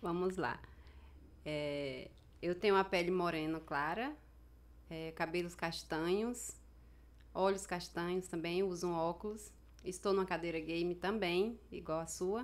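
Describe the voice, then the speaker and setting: Fairly low-pitched female speech, fairly slow and fairly even in intonation, broken by long, frequent pauses. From Brazil, Amazonas (Manaus, riverside community). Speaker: author, accident survivor. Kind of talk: interview. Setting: studio.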